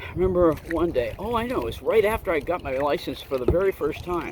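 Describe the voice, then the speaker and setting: Against noticeable background noise, a man speaks in a relaxed tone at a fairly high pitch. His pitch swings very widely. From Vermont. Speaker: outdoor vlogger. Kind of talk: casual vlog narration. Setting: outdoors in a kayak on a pond. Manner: relaxed, hesitant with fillers.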